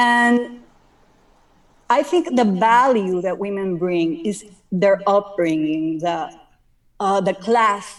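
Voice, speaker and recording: A woman speaks very slowly with a Spanish accent. Her intonation is lively. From Dominican Republic. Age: 40s. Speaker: caller. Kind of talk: call-in discussion. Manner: halting.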